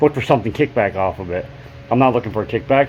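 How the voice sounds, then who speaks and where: A man speaks over noticeable background noise. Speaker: DIY motorcycle mechanic YouTuber. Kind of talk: casual workshop talk to camera. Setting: open garage. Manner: halting, many fillers.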